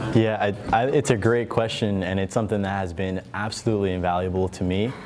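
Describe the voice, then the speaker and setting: A man with an American accent speaks at a very fast pace in a fairly low pitch with fairly even intonation. Noticeable background noise runs through the clip. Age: 20s. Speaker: entrepreneur and investor. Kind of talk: panel discussion.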